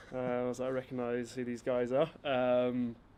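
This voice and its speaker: A man talks at a moderate pace in an English accent. His pitch is medium. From southern England, near Gatwick. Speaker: footballer and company founder. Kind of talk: casual interview chat.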